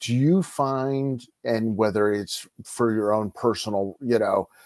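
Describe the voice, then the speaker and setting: Using a plain, everyday voice, a man speaks at a medium pitch with ordinary pitch variation. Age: younger than 47. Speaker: sports card podcast host. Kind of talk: casual interview chat.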